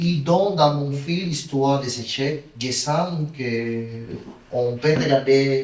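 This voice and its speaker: A man with a Spanish accent and ordinary pitch variation, plus noticeable background noise and audible room echo. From Cuba, Santiago de Cuba. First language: Spanish (speaking French). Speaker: film director. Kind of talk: interview. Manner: halting.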